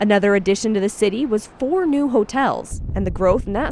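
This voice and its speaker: There is music in the background. A woman is speaking. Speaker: TV reporter and anchor. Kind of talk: TV news reporter voiceover.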